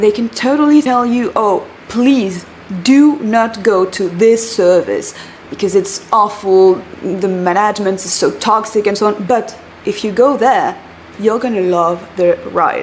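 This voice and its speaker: Over noticeable background noise, a woman with a French accent speaks at a fairly slow pace. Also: fairly high pitch for a woman, ordinary pitch variation. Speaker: career coach, former recruiter. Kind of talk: vlog-style advice talk. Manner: animated.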